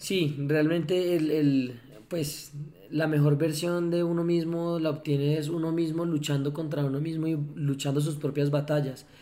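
With audible room echo, a man with a fairly high pitch and a dark, mellow tone speaks at a fairly slow pace in a monotone, flat intonation. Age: 20s. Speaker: entrepreneur, foundation director. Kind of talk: casual interview. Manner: hesitant, many fillers and repetitions.

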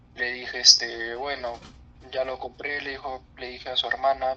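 A man talks at a moderate pace with big swings in loudness. Background noise is noticeable. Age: 20s. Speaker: geology graduate. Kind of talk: casual chat. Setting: video call.

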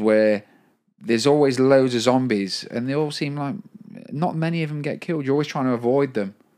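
Lively in intonation, a man with an unremarkable speaking voice talks at a moderate pace and a fairly high pitch. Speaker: podcast co-host. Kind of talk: casual comedic chat.

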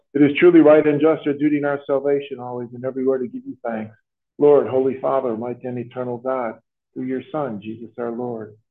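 A man with an ordinary speaking voice talks at a fairly quick pace and medium pitch. His intonation is fairly even, but his loudness swings widely. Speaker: priest celebrating Mass. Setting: school chapel with congregation.

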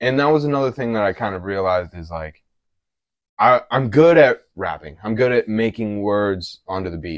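An unremarkable speaking voice from a man with an American accent, fairly low pitch and lively intonation, at a moderate pace against a quiet background. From Colorado, Denver. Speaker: hip hop artist. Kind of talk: casual chat.

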